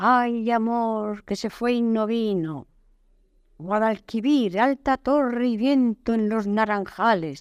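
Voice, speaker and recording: On a very clean recording with a silent background, a woman speaks very slowly at a fairly high pitch with ordinary pitch variation. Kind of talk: poetry reading. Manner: lyrical, singsong, refrain-like.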